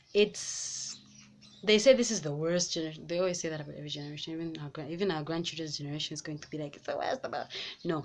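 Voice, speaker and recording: The delivery is very fast, with a Malawian accent. Loudness swings a lot while pitch variation stays ordinary. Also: woman, very deep, low pitch for a woman. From Zambia. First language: Nyanja. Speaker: YouTuber. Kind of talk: vlog commentary. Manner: animated; halting.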